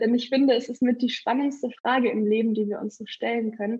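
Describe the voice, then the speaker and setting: A woman's fairly high, somewhat breathy voice in a monotone, flat intonation. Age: 20s. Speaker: photographer and horse trainer. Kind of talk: interview outtakes.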